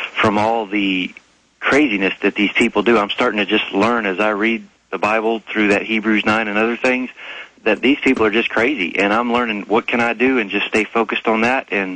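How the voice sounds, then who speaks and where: With very even loudness, a man speaks at a fairly quick pace in a fairly low pitch and a monotone, flat intonation. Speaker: caller. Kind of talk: call-in radio talk. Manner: stuttering.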